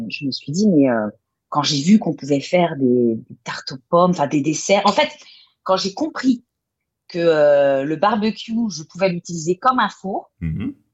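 A woman with a fairly low pitch talks at a fairly slow pace, her pitch swinging very widely and her loudness shifting a lot, with long, frequent pauses. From Brittany, France. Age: 40s. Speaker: chef and food photographer. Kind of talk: casual interview.

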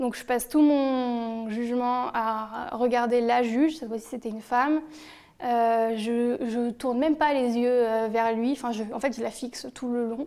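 A woman with a high pitch and a dark, mellow tone talks at a fairly slow pace with fairly even intonation. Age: 20s. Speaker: dietitian sharing a harassment testimony. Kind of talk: personal testimony.

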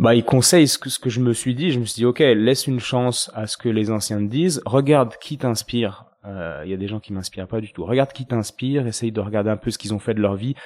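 A man with a medium voice speaks fairly quickly, hardly pausing, and his pitch varies in an ordinary way. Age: 30s. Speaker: osteopath and podcast host. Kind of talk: interview answers, casual chat. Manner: hesitant, many fillers and repetitions.

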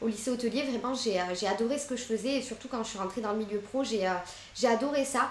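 A woman speaks at a fairly quick pace with hardly any pauses, her fairly high pitch moving with ordinary variation, while noticeable background noise and audible room echo fill the recording. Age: 30s. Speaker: entrepreneur, postpartum caterer. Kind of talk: interview.

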